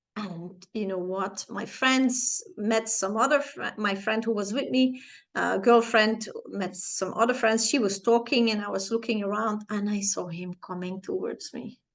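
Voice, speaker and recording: A woman with a Flemish accent, fairly high pitch, ordinary pitch variation and a fairly slow pace. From Flanders, Belgium. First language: Flemish (Dutch). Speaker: personal growth vlogger. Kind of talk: personal storytelling in a tutorial vlog. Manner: hesitant, with fillers and self-corrections.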